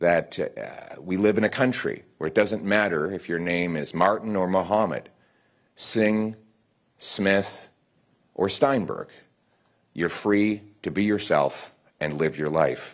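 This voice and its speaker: Against a quiet background, a man speaks very slowly at a fairly low pitch, with ordinary pitch variation and long, frequent pauses. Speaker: politician. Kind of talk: political speech. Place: hall. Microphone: podium.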